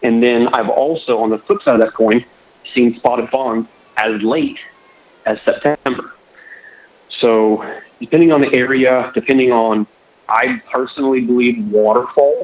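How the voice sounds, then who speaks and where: The speaker talks at a moderate pace with a Florida accent and fairly even intonation. Long pauses come often. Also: man, medium pitch for a man. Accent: US Southern (Florida). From southwest Florida. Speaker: hunter. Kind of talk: podcast interview. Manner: halting.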